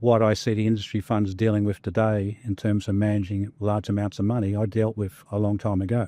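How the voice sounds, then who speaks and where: A man with an Australian accent talks at a fairly quick clip in a fairly low, monotone voice, keeping his loudness very even and hardly pausing at all. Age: 60s. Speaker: former fund manager. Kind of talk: interview conversation.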